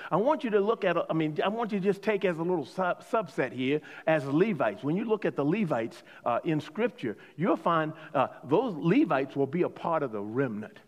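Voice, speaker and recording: Talking at a fairly quick pace, a man with a high pitch makes very wide pitch swings. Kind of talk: sermon, preacher in full flow. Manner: rhetorical, call-and-response, pressing each point with repetition; emphatic, exhorting the congregation.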